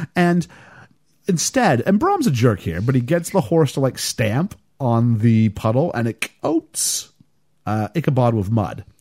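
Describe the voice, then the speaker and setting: A man speaks at a fairly slow pace and a medium pitch, with very wide pitch swings. His voice is somewhat breathy, and the sound is dry and close with no echo. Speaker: podcast host. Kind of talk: casual chat.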